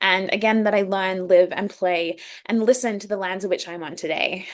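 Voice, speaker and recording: Against a quiet background, a woman speaks at a medium pitch and a fairly quick pace. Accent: Australian. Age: 20s. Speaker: youth leadership program founder and facilitator. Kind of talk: online workshop presentation. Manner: fast when excited.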